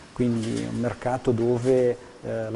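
A man speaks at medium pitch. Noticeable background noise is audible. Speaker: factory manager. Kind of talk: interview clip.

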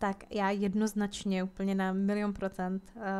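Using a monotone, flat intonation, a woman speaks at a fairly slow pace with a medium pitch. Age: 20s. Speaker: gaming YouTuber. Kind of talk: casual Q&A chat while gaming.

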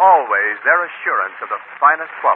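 The speaker keeps a moderate pace. Noticeable background noise runs underneath. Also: man. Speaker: radio announcer narrator. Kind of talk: scripted radio announcer narration and ad reading. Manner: formal, polished, smooth announcer delivery. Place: studio. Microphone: old recording.

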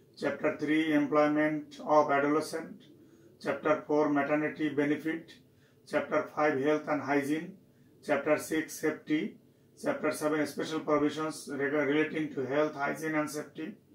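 A man talks at a moderate pace with monotone, flat intonation. There is audible room echo. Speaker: university lecturer. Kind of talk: lecture. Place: office.

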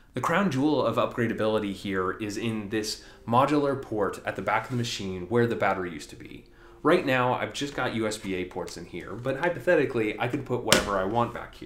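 A man at a fairly quick pace, with big swings in loudness and audible room echo. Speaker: tech video creator. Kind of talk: tech review commentary. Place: home room.

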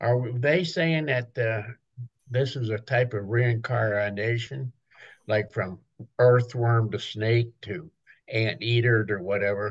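Over a quiet background, a man talks at a fairly slow pace. His medium-pitched voice is somewhat breathy. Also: ordinary pitch variation. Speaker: study group member. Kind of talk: group study discussion. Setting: video call. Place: home room. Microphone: webcam.

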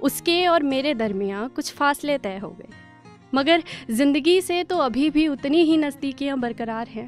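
A high-pitched woman's voice with lively intonation, a dry sound with no echo, and faint music in the background. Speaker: spoken word poet. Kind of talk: spoken word poetry. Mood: wistful, hopeful, smiling. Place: studio. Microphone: studio mic.

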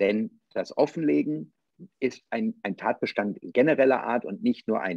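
Against a quiet background, a man speaks at a fairly slow pace in a dry recording with no echo. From western Germany. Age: 50s. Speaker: politician and theologian; politician. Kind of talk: political debate. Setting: video call. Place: office. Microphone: video call.

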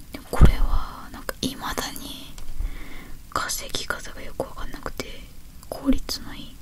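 A woman whispers at a fairly slow pace. Her speech has long, frequent pauses. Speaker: ASMR creator. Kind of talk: ASMR whispered talk. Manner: whispered. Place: home room. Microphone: handheld.

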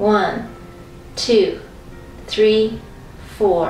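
A woman speaks with ordinary pitch variation, with audible room echo and light background noise around her. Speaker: exercise instructor. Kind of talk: guided workout instruction. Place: home room. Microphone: camera far.

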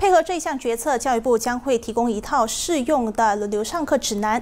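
A woman speaks at a moderate pace with a high pitch and ordinary pitch variation. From Malaysia. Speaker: news reader. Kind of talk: news reading. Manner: formal. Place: studio.

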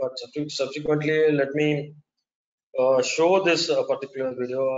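A man with an Indian accent at a moderate pace, flat monotone intonation, light background noise. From India, Chennai. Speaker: wind turbine engineer and webinar speaker; webinar speaker. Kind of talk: webinar presentation. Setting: online webinar with slides. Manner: halting, hesitant with fillers. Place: home room. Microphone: webcam.

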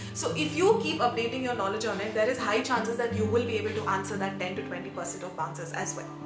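A woman at a moderate pace, with clear music in the background. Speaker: education vlogger. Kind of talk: tips vlog to camera. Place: home room.

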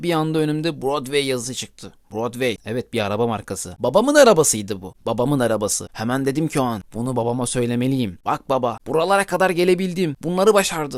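With an animated, dramatic tone, a man talks at a fairly quick pace and a medium pitch, with hardly any pauses. His intonation is lively, and the recording is very clean with a silent background. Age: 20s. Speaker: podcaster telling personal memories. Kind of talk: personal storytelling.

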